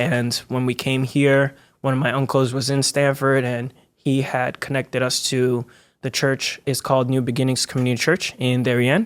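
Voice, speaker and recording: On a very clean recording with a silent background, a man speaks at a moderate pace in a monotone, flat intonation. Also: medium pitch for a man. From Togo, raised in Connecticut from age six. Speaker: cinematographer and video producer. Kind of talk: podcast interview.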